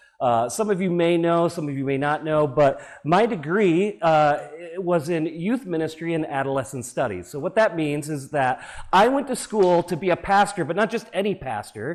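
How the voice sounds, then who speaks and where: A man with an American accent speaks loudly at a moderate pace, his high pitch carrying lively intonation. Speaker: preacher. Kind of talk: sermon.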